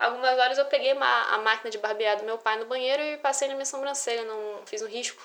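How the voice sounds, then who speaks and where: A woman talks very fast at a high pitch, with hardly any pauses. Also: big swings in loudness. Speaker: podcaster. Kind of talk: casual monologue. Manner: animated.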